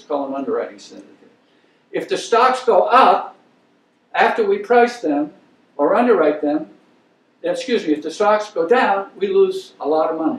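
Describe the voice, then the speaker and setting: A man with an American accent speaks at a high pitch, his voice swinging very widely in pitch. His loudness rises and falls sharply, broken by long, frequent pauses. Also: moderate pace. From Maine, US. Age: 70s. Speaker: investment banker, guest lecturer. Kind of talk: lecture.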